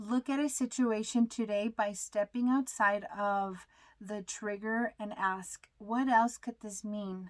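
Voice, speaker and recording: A woman speaks very slowly at a fairly high pitch with fairly even intonation, in a dry, close sound with no echo. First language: not English. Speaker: tarot card reader. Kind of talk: tarot reading. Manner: halting.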